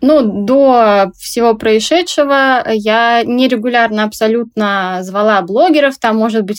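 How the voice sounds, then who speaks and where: At a fairly slow pace, a woman talks in an ordinary speaking voice with a fairly high pitch and ordinary pitch variation. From Russia, Tomsk. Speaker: small clothing brand owner. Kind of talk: interview.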